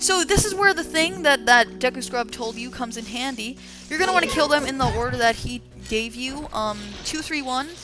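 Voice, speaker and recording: Music in the background behind a woman's high voice, lively in intonation and at a fairly quick pace. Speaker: let's play gamer. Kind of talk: gameplay commentary.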